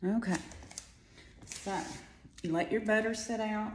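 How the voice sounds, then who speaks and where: A woman speaks quietly with audible room echo. Noticeable background noise runs underneath. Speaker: home cook. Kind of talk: cooking tutorial. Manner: chatty.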